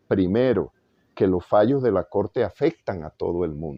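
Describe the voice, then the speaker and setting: A man with a Caribbean Colombian accent, at a moderate pace. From Valledupar, Colombian Caribbean. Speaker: jurist, former constitutional court magistrate. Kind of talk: interview answer.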